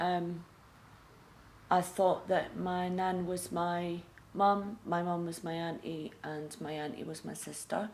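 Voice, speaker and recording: A woman speaks in a Scottish accent at a medium pitch. Her pace is fairly slow. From Scotland. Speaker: recovering addict sharing her story. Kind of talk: testimony. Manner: halting, many fillers.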